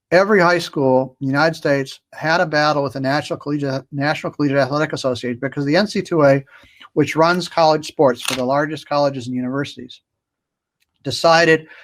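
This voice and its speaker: Speaking at a very fast pace, a man with a fairly high pitch keeps a fairly even intonation in a very clean recording with a silent background. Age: 70s. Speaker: school choice activist. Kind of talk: panel discussion. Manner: halting.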